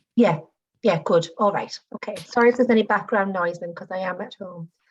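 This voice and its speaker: The woman's voice is medium in pitch and somewhat breathy, with ordinary pitch variation. She speaks fairly quickly, with big swings in loudness. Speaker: nurse practitioner. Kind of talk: presentation. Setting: video call. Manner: fast. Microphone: audio cutting out.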